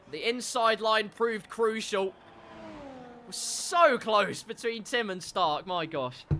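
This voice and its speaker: Over noticeable background noise, a raised, projected voice with an English accent moves at a very slow pace with lively intonation. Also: man, high pitch for a man. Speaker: sim racing league commentator. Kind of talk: live commentary. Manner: animated.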